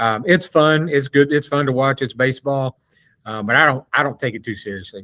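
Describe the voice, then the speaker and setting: A man's medium-pitched voice, bright and sharp in tone, with ordinary pitch variation at a fairly quick pace. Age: 60s. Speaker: sports podcast co-host. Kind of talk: casual chat.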